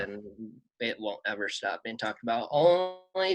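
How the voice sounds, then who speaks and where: Lively intonation carries at a moderate pace over music in the background. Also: man. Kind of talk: casual sports podcast talk.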